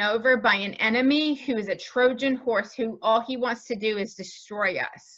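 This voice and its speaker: Speaking at a fairly slow pace, a woman has a fairly high pitch, a bright, sharp tone and fairly even intonation. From New Zealand. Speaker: sales coach. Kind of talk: podcast interview.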